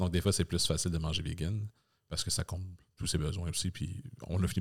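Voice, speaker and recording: A man with a Quebec accent speaks at a very fast pace, his pitch very deep and low. His voice is somewhat breathy, with ordinary pitch variation. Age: 30s. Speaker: podcast host. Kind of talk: casual chat.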